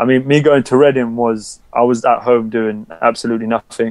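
A man speaks in a London accent. His intonation is monotone and flat. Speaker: professional basketball player. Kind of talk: casual interview chat.

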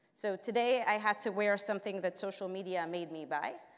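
A woman talks at a moderate speed, her pitch rising and falling in an ordinary way. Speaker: panel moderator. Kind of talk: conference presentation. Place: stage.

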